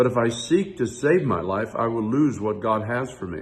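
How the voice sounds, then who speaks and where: A somewhat breathy man at medium pitch, with ordinary pitch variation. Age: 70s. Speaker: pastor. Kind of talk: devotional talk. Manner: reflective.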